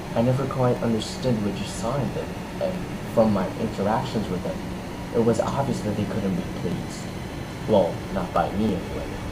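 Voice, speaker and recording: Intonation is lively and the pace moderate. Noticeable background noise is present. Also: man, fairly low pitch for a man. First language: not English. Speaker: gaming youtuber. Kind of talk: horror story reading.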